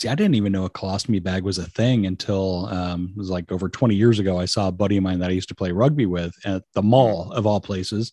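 A man with a Californian accent speaks very fast, with hardly any pauses, in a very deep, low voice with a dark, mellow tone and fairly even intonation. The sound is dry and close with no echo, over a quiet background. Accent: general American, Californian. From San Francisco Bay Area, California. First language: Portuguese. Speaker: comedian podcaster, dad. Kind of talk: casual chat with swearing. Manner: casual, profane.

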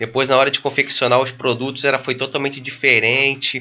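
A man with a medium pitch speaks at a fairly quick pace in a monotone, flat intonation. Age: 40s. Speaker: entrepreneur and mastermind club founder. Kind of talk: casual interview.

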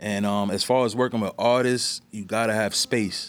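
Heard in a very clean recording with a silent background, a man with a New York accent speaks in a fairly low pitch with monotone, flat intonation. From New York, the Bronx. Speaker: music producer. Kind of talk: casual chat.

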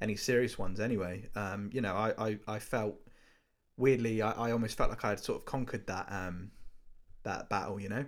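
In a normal speaking voice, a man talks at a fairly quick pace with a fairly low pitch. The recording is very clean with a silent background. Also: fairly even intonation. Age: 20s. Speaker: videographer. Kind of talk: casual chat. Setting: call.

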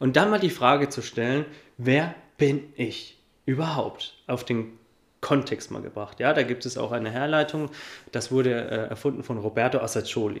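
This man has a normal speaking voice, with a medium pitch, ordinary pitch variation and a moderate pace. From Upper Franconia, Germany (Coburg). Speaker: life and business coach. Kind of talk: interview.

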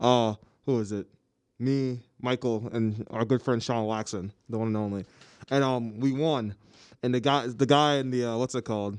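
Speaking at a moderate pace against a quiet background, a man with a medium pitch keeps his intonation fairly even and takes long, frequent pauses. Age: 20s. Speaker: college radio co-host. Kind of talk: casual chat. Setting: radio studio.

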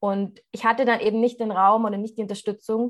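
The pace is moderate and the background is quiet. It is an unremarkable speaking voice. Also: woman. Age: 20s. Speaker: coach for women. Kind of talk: casual interview chat.

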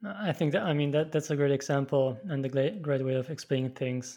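In a German accent, a man with a dark, mellow tone and fairly high pitch speaks at a moderate pace, with ordinary pitch variation and very even loudness. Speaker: podcast host. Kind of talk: interview.

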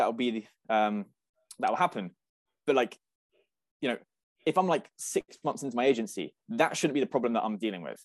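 With a British accent, a man speaks fairly quickly but with long, frequent pauses and very wide pitch swings, in a dry, close sound with no echo. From UK. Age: 20s. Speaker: agency owner and program student. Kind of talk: interview.

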